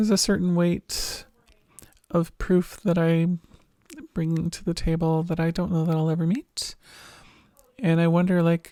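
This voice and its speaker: A woman's fairly low, dark and mellow voice with fairly even intonation and long, frequent pauses. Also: dry, close sound with no echo. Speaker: vlogger and teacher. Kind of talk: personal vlog. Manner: halting.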